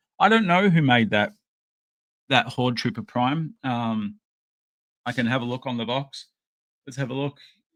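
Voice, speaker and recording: A man with an Australian accent, lively intonation, a moderate pace and long, frequent pauses, in a very clean recording with a silent background. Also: medium pitch for a man. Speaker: podcast host and toy collector. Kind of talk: casual unboxing chat. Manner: halting, many fillers.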